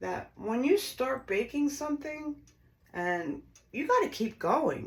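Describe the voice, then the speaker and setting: A woman speaks at a fairly slow pace in a high pitch, with lively intonation and an animated tone. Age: 60s. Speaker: home baker, former bakery owner. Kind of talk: cooking tutorial. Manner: chatty, animated.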